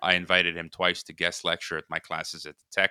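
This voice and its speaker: The speech moves at a very fast pace. The sound is dry and close with no echo, and the tone is bright and sharp. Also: man. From US Midwest, Chicago, Croatian immigrant parents. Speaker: podcast host and geopolitics commentator. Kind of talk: casual interview. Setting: remote call.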